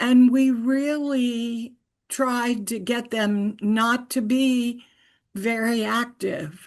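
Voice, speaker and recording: At a very slow pace, a woman with a high pitch speaks with fairly even intonation against a quiet background. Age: 80s+. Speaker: retired physical therapist, webinar moderator. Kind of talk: webinar talk. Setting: online webinar.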